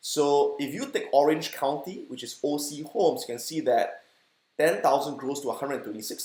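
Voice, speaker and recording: A man with a Singaporean accent talks at a fairly quick pace. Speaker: stock investing educator. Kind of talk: educational talk.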